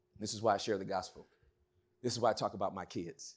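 A man with an American accent talks at a very fast pace in an animated tone, on a very clean recording with a silent background. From Inglewood, California. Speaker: preacher. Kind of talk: sermon.

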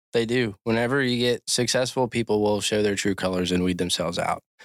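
A man with a normal speaking voice and an American accent, medium pitch, fairly even intonation, a fairly quick pace, and a dry, close sound with no echo. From Maryland, Cecil County. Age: 20s. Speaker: podcast host. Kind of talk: casual chat. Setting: studio.

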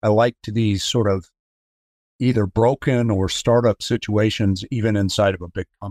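The recording is very clean, with a silent background. A man talks in a normal speaking voice. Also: dry, close sound with no echo. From US, Colorado (Denver). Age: 60s. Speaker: business executive. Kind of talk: interview.

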